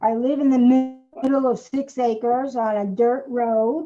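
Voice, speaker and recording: Speaking fairly slowly in an Inland North US accent, a woman has a dark, mellow tone and fairly high pitch. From upstate New York. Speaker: craft livestream co-presenter. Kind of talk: casual livestream chat.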